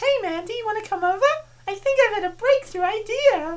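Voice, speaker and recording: Putting on a squeaky character voice at an extremely high pitch, a woman talks at a fairly quick pace. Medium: fan dub. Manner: hesitant, self-excusing.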